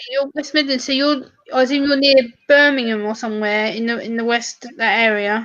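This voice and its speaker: A woman with a southern English accent talks at a fairly quick pace, her high pitch held in fairly even intonation. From southern England. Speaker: panelist on livestream. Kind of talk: casual livestream chat.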